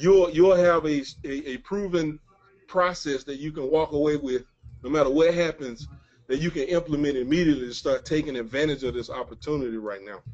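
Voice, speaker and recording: This man speaks with a Mississippi accent at a fairly high pitch. His pace is fairly quick, and his loudness swings widely. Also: ordinary pitch variation. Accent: Southern US (Mississippi). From US South, Mississippi. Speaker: webinar presenter, online marketer. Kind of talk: webinar presentation. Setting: webinar call. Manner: mumbling.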